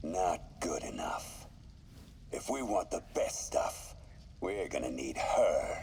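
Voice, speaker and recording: With clear background noise behind him, a man uses a put-on character voice at a very slow pace. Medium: video game. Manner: cold, commanding.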